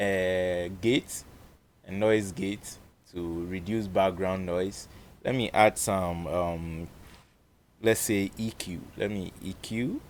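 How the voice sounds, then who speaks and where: A man speaks very slowly in a very deep, low voice with fairly even intonation. Long, frequent pauses break up his speech. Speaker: music producer tutorial creator. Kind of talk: tutorial. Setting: recording studio. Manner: casual, with frequent hesitations.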